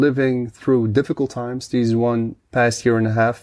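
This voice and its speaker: A man with a Dutch accent, medium in pitch, dark and mellow in tone, with monotone, flat intonation against a quiet background. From Netherlands. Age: 30s. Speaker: podcaster and guest. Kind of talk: casual interview chat.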